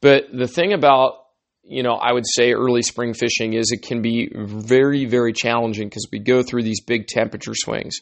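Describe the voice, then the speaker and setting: A man speaks in an ordinary speaking voice, pitched in the medium range. His intonation is fairly even and his pace moderate. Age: 40s. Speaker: fly fishing guide and podcast host. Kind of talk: solo podcast talk. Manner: casual.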